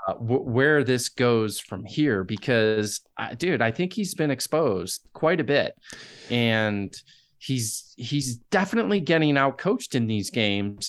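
Lively intonation marks speech delivered rather slowly. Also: man, medium pitch for a man. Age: 50s. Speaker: podcast contributor, sports fan. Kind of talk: casual sports chat. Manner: halting with repeated starts.

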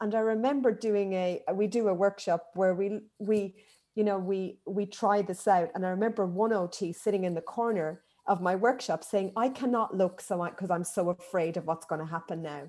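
A woman with an Irish accent talks at a moderate pace in a dark, mellow tone, medium pitch and ordinary pitch variation. The recording is very clean, with a silent background. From Ireland. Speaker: occupational therapist and manual handling educator. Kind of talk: interview.

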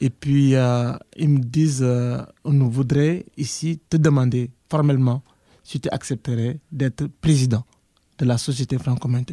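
Very slowly and with big swings in loudness, a man speaks in a dark, mellow tone with fairly even intonation, the sound dry and close with no echo. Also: medium pitch for a man. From Senegal. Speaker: university professor, former association president. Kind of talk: interview.

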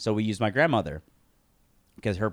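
A man speaks in a fairly low pitch. The recording is very clean, with a silent background. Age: 20s. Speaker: podcast co-host. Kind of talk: casual chat. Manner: halting.

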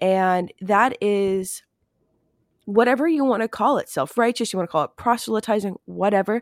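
In a very clean recording with a silent background and a dry, close sound with no echo, a woman talks at a moderate pace in an ordinary speaking voice, her medium pitch showing ordinary pitch variation. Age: 30s. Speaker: podcast host and occult practitioner. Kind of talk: interview conversation.

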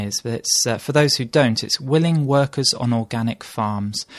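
Over a quiet background, a man with a British accent speaks fairly quickly at a medium pitch with ordinary variation. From UK. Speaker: travel blogger. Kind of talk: casual chat. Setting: home kitchen table.

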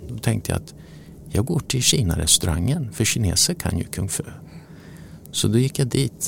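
A man talks at a moderate pace with a fairly low pitch and long, frequent pauses. His pitch swings very widely and his loudness shifts a lot. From Sweden, Motala. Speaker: newspaper publisher. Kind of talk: interview. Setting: office.

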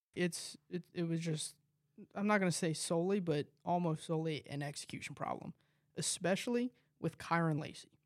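Recorded dry and close with no echo, a man speaks at a moderate pace in a high pitch. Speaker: college radio sports commentator. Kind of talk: casual sports talk. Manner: animated.

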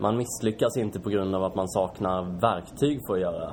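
A man speaks at a fairly low pitch. His pace is moderate and his pitch variation ordinary. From Sweden, Kalmar. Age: 20s. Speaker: startup founder. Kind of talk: interview. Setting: shop showroom. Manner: hesitant, many fillers.

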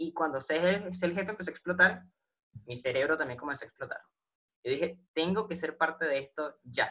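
Bright and sharp, this voice carries a Venezuelan accent. It moves at a moderate pace with ordinary pitch variation. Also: man, fairly high pitch for a man. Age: 20s. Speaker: online business affiliate. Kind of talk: interview.

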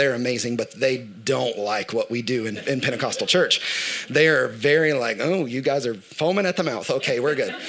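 Speaking at a fairly quick pace, a man can be heard against noticeable background noise. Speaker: church worship director. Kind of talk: sermon. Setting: church.

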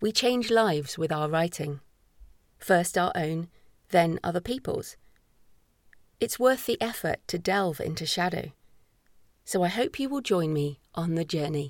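With an English accent, a woman talks at a fairly slow pace and a fairly low pitch, her intonation lively. Long, frequent pauses break up her speech on a very clean recording with a silent background. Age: 40s. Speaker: author. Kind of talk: audiobook narration. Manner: measured.

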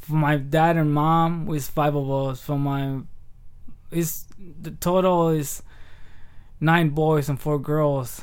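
In a Spanish accent, a man speaks at a very slow pace and a fairly high pitch. His intonation is flat and monotone, and the room echo is audible. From Michoacán, Mexico. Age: 30s. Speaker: comedian. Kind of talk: casual chat.

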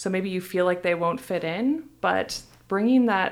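This fairly low-pitched woman has a normal speaking voice. The recording is very clean, with a silent background. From US Midwest, Iowa. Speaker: sensory scientist. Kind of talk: casual interview. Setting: studio.

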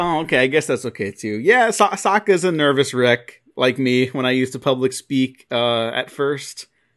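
At a moderate pace and with hardly any pauses, a man speaks at a medium pitch with ordinary pitch variation, the sound dry and close with no echo against a quiet background. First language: Spanish. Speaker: podcast host. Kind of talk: casual chat.

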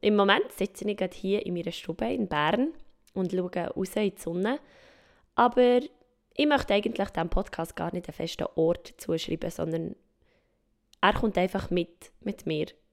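On a very clean recording with a silent background, a woman uses lively intonation and a medium pitch at a moderate pace, with long, frequent pauses. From Switzerland, mountain region. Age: 20s. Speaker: podcast host. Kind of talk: podcast intro monologue. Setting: at home in her living room.

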